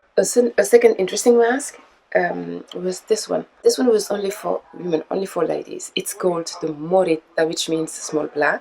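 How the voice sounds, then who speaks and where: A woman speaks with a French accent. She barely pauses at all. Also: moderate pace. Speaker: mask maker. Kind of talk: interview explaining history. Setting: mask workshop. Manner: hesitant with filler sounds.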